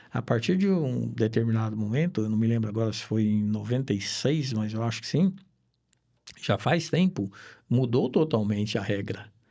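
On a very clean recording with a silent background, a man speaks at a medium pitch. His tone is dark and mellow, his pace moderate. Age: 60s. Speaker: insurance broker, retired police investigator. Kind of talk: casual chat.

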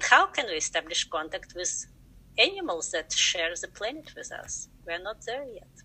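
With a Russian accent, a woman speaks at a moderate pace, her loudness swinging widely. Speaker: science educator. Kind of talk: interview.

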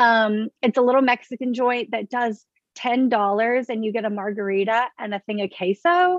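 A woman with an American accent and a plain, everyday voice speaks at a moderate pace at fairly high pitch with ordinary pitch variation, sounding dry and close with no echo against a quiet background. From US South, Baton Rouge, Louisiana. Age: 20s. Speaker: political club board member. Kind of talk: casual chat.

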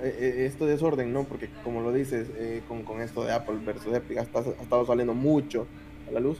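Amid noticeable background noise, a man speaks in a flat monotone. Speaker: podcast co-host. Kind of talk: casual chat. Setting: live stream.

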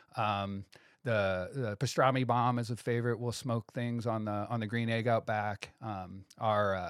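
Here is a man with an ordinary speaking voice at medium pitch and fairly even intonation. The sound is dry and close with no echo, on a very clean recording with a silent background. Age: 40s. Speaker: sandwich shop owner. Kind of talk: casual chat. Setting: studio.

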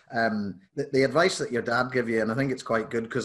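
Fairly quick speech in a Northern Irish accent, with fairly even intonation over a quiet background. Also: man. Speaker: podcast host. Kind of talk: casual interview chat.

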